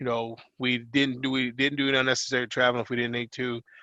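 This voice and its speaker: With an American accent, a man speaks at a medium pitch. He has an ordinary speaking voice. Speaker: wrestling coach. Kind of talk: interview. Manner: casual, filler-heavy.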